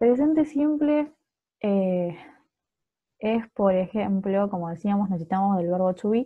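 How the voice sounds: A woman speaks at a fairly slow pace, her medium pitch moving with ordinary variation.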